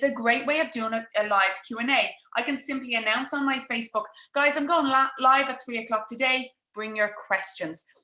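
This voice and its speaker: A woman speaks at a fairly quick pace in a high pitch. Her tone is bright and sharp, with ordinary pitch variation. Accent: Irish. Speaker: business coach. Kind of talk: live webinar masterclass. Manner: fast.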